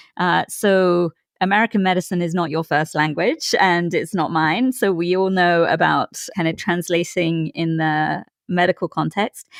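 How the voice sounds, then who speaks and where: Here is an unremarkable speaking voice from a woman with a fairly low pitch and fairly even intonation. She holds a moderate pace at very even loudness, in a dry, close sound with no echo. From outside the US. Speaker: podcast host, physician. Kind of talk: interview.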